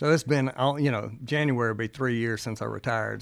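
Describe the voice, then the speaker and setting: A man's medium-pitched voice with a Mississippi accent. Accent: Mississippi Southern. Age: 60s. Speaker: retired judge. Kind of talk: casual chat. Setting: studio.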